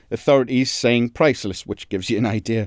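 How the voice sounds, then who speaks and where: A man speaks fairly quickly in a Geordie accent. The sound is dry and close, with no echo. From northern England, Newcastle (Geordie). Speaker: crime journalist, podcast co-host. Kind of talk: casual podcast chat.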